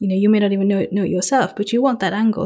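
A woman speaks at a medium pitch, somewhat breathy, with a dark, mellow tone. The recording is very clean, with a silent background. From Global South. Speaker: research advisor. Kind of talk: interview.

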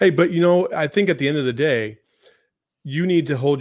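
The speaker goes at a very fast pace in an animated tone, with ordinary pitch variation against a quiet background. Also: man. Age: 40s. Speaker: sports podcast co-host. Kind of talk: casual chat.

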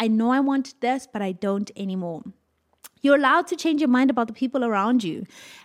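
A woman's high-pitched voice at a fairly quick pace, with lively intonation. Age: 20s. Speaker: podcast host. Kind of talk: solo motivational talk.

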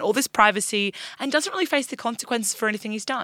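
A bright, sharp tone with an Australian accent. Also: woman. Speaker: news podcast co-host. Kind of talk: casual news discussion.

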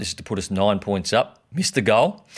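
A man's fairly low voice carries an Australian accent. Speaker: podcast co-host. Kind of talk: casual banter, sports podcast.

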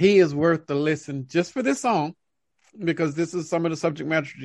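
Fairly high for a man, this voice moves at a fairly quick pace and is a normal speaking voice. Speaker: podcast co-host, music reviewer. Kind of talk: casual video review chat. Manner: casual, opinionated.

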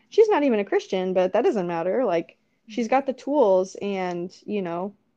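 Against a quiet background, a woman with a dark, mellow tone speaks at a medium pitch and moderate pace, with ordinary pitch variation. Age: 20s. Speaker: young mother and wife. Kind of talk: faith testimony in casual interview.

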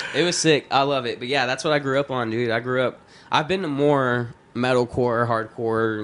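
A man's medium-pitched voice with fairly even intonation, over noticeable background noise. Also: moderate pace. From Texas. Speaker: rapper. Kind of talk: casual chat. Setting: studio.

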